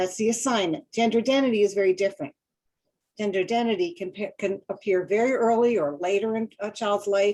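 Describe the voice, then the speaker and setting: Her voice sits at a medium pitch with a dark, mellow tone. The woman moves at a fairly quick pace with ordinary pitch variation. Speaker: school counselor, webinar presenter. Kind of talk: webinar lecture. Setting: online webinar. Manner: fast.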